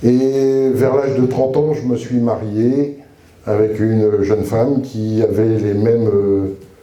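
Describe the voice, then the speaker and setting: Very slow and very even in loudness, a man's medium-pitched voice has a dark, mellow tone and audible room echo. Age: 60s. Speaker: retired soldier and chaplain giving testimony. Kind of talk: testimony. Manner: casual, humorous storytelling with hesitations.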